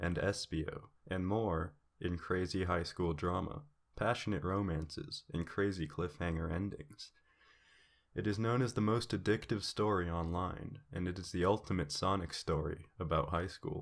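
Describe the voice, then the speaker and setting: A soft-spoken man with a very deep, low voice, a fairly slow pace and ordinary pitch variation. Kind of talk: fan fiction reading.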